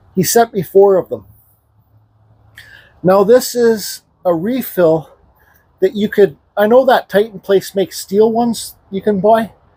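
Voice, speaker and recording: High-pitched for a man, his voice has a dark, mellow tone, ordinary pitch variation and a fairly slow pace with long, frequent pauses, in a dry, close sound with no echo. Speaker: woodcarver. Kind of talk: tutorial.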